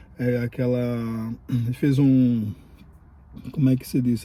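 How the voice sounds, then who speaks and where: A man's medium-pitched voice with a dark, mellow tone and flat, monotone intonation. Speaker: immigration vlogger. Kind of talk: casual vlog commentary. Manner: halting, many fillers.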